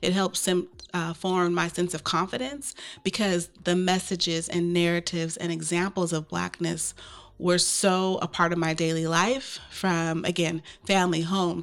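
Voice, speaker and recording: An ordinary speaking voice from a woman with an American accent, at a fairly low pitch. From US Pacific Northwest, Portland, Oregon. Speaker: equity consultant. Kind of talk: interview.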